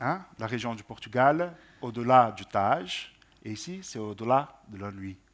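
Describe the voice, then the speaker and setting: Speaking at a fairly slow pace, a man of medium pitch uses lively intonation. His loudness swings by a lot. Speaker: translation panelist. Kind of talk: panel discussion on poetry translation. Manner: hesitant, repeats words.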